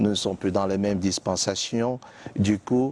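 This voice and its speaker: In a Cameroonian accent, a man with a fairly low voice speaks at a moderate pace with fairly even intonation, the sound dry and close with no echo. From Cameroon, Littoral region (Bassa). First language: Bassa (speaking French). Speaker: biblical scholar, TV guest. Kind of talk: TV interview. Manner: hesitant, many fillers.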